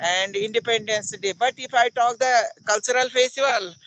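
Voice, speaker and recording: Dry and close with no echo, a man's raised, projected voice carries a bright, sharp tone and fairly even intonation. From India, Uttarakhand (Pauri Garhwal). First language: Garhwali (also Hindi). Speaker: English teacher. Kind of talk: English conversation practice.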